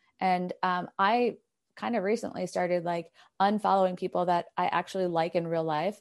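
Over a quiet background, a woman with an unremarkable speaking voice talks at a moderate pace, her medium pitch held in fairly even intonation. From New York. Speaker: elite runner and running coach. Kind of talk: casual interview.

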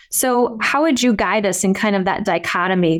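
This is a normal speaking voice. The recording is very clean, with a silent background. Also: woman. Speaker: podcast host, ophthalmologist and business owner. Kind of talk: interview conversation.

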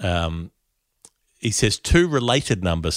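A man with an Australian accent speaks at a very deep, low pitch. His intonation is lively. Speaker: cricket podcast host. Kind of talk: casual chat. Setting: remote call.

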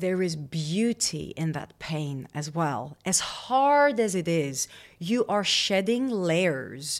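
The speech moves at a very slow pace with very wide pitch swings. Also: woman, fairly low pitch for a woman. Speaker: holistic women's coach. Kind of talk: interview.

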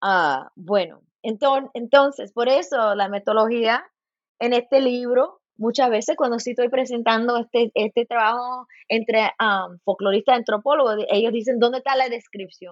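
A woman talks at a moderate pace, using a fairly high pitch that varies in an ordinary way. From US, Los Angeles, Cuban and Puerto Rican family. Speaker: folklore professor. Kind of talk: interview. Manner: halting, many repetitions and fillers.

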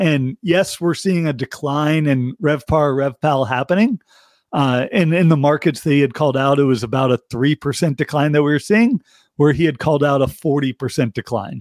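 A man speaks in an ordinary speaking voice, fairly high in pitch with ordinary pitch variation and very even loudness, at a moderate pace. The recording is very clean with a silent background, and the sound is dry and close with no echo. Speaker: economist guest. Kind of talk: casual interview chat.

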